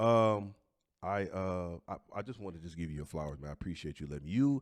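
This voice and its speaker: This man has a very deep, low pitch and an American accent, speaking at a fairly quick pace. The recording is very clean with a silent background and a dry, close sound with no echo. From Detroit area, Michigan. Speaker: comedian and podcast host. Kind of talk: casual chat.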